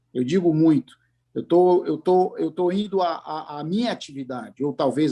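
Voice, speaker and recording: A man with a dark, mellow tone and a fairly high pitch speaks at a moderate pace with ordinary pitch variation. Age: 60s. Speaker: business management consultant. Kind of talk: panel discussion. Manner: halting, with many repeated words.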